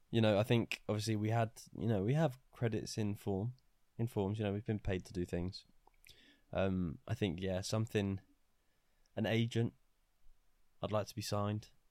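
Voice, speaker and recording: Pausing often and at length, a man with a fairly low pitch and a dark, mellow tone speaks at a moderate pace. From Luton, England. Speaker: podcast co-host. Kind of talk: casual chat. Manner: animated.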